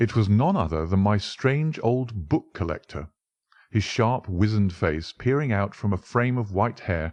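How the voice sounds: Lively intonation runs through a natural reading voice, heard over a quiet background.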